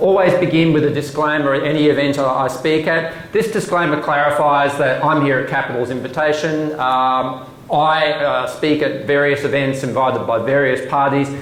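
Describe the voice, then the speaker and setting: A man with an Australian accent speaks at a fairly high pitch with fairly even intonation, very even loudness and hardly any pauses. Audible room echo and noticeable background noise are present. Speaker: government commissioner. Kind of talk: presentation. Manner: fast.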